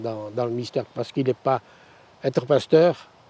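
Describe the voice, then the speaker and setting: With a dark, mellow tone, a man's voice sounds dry and close with no echo. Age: 80s+. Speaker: retired pastor. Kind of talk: interview testimony. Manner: halting.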